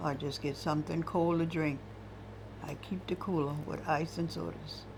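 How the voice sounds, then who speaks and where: A woman with an American accent speaks at a moderate pace amid audible room echo. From US South, Johns Island, South Carolina. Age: 80s+. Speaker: retired cook. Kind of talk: oral history interview.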